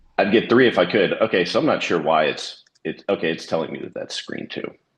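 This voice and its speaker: Fairly low in pitch, a man talks at a fairly quick pace with lively intonation. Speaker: security business developer. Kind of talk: sales presentation. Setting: video call. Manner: fast.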